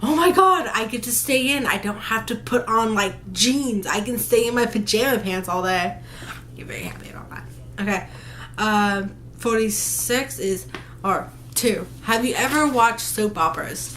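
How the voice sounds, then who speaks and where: An animated woman at a moderate pace, with big swings in loudness and audible room echo. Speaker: vlogger. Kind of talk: casual vlog, answering questions. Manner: halting, stuttering.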